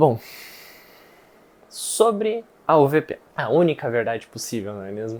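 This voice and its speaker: In a very clean recording with a silent background, a man talks at a fairly slow pace with very wide pitch swings and big swings in loudness. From southern Brazil, Rio Grande do Sul (Viamão, near Porto Alegre). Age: 20s. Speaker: student testimonial for investment course. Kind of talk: testimony. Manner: casual, with hesitations.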